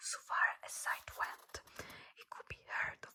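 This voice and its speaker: The speaker is whispering at a fairly slow pace. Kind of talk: ASMR book reading, soft-spoken. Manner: soft-spoken, whispering, repeating words.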